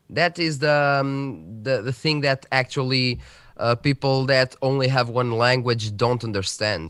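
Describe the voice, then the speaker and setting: A man with a Portuguese accent, medium pitch and ordinary pitch variation at a fairly slow pace, in a very clean recording with a silent background. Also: dry, close sound with no echo. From central Portugal. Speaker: tech youtuber. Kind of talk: casual chat. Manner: halting.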